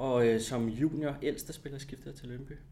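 In a room with audible echo, a man speaks at a fairly slow pace with a medium pitch and fairly even intonation. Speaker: former footballer and TV commentator. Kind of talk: casual interview.

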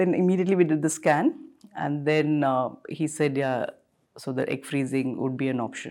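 A woman speaks at a moderate pace with fairly even intonation. Her pitch is very deep and low, and her tone is dark and mellow. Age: 40s. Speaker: doctor sharing personal egg freezing experience. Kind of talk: interview testimony. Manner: hesitant, many fillers.

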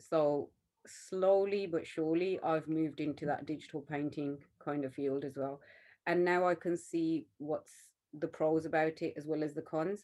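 A woman with a Birmingham accent speaks at a moderate pace in a very deep, low pitch and a dark, mellow tone. Her intonation is monotone and flat, with a quiet background. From West Midlands, England. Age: 40s. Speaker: artist and art teacher. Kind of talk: interview conversation.

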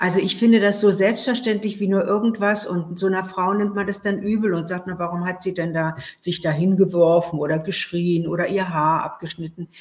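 A plain, everyday voice from a woman, medium in pitch, fairly even in intonation, at a fairly quick pace with hardly any pauses. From Berlin, Germany. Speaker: author and journalist. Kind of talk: interview.

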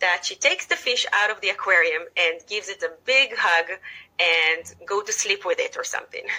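With an Israeli accent, a woman speaks at a moderate pace. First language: Hebrew. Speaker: teacher and author. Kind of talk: casual interview. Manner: animated, enthusiastic.

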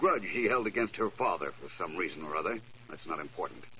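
Putting on a character voice, a man talks at a fast pace with a low pitch, a bright, sharp tone and lively intonation.

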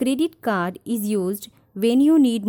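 Her tone dark and mellow, a woman speaks at a moderate pace with lively intonation. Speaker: personal finance podcaster. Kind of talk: tutorial.

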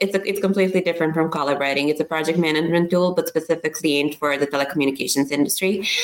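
A woman with a Serbian accent speaks at a very fast pace in a fairly low pitch, with hardly any pauses. Her loudness stays very even over noticeable background noise. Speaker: startup founder. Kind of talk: interview.

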